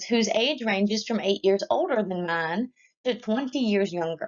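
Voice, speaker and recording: Using lively intonation, a woman with an American accent speaks at a moderate pace in a medium pitch. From North Carolina and West Virginia. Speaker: university student. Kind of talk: class presentation, read from script. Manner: formal.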